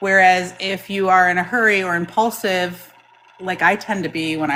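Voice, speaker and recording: Loud and fairly low-pitched, a woman's bright, sharp voice keeps fairly even intonation at a moderate pace. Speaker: product demonstrator for a lapidary equipment company. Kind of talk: product demonstration in a live chat.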